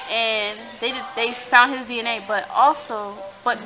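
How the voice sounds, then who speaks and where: Over music in the background, a woman with a high voice and an American accent speaks with ordinary pitch variation. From San Diego, California. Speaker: vlogger. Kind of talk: casual vlog chat. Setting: restaurant. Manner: stutters at times; bubbly.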